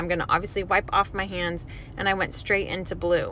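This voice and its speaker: A woman speaks over noticeable background noise. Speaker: hair colorist. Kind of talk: tutorial.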